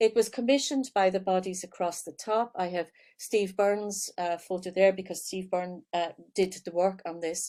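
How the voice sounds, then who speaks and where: This speaker has a dark, mellow tone and an Irish accent, with ordinary pitch variation. The recording is very clean, with a silent background. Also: woman. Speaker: professor. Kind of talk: lecture. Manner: hesitant fillers.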